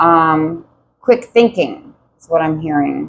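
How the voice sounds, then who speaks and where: Her pitch fairly low, a woman speaks at a very slow pace with very wide pitch swings. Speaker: tarot reader. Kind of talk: tarot reading. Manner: loud; animated.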